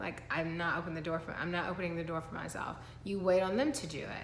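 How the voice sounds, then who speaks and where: There is audible room echo as a woman speaks at a moderate pace. Her pitch is fairly low, with ordinary variation. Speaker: lifestyle vlogger. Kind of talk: motivational talk to camera.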